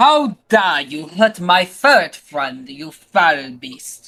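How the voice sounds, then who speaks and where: The speech comes at a very slow pace. It is a put-on character voice at a middle pitch. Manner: cheeky, playful.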